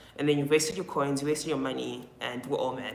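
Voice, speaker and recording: Noticeable background noise and audible room echo surround this woman as she speaks. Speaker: skincare influencer. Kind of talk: live stream Q&A.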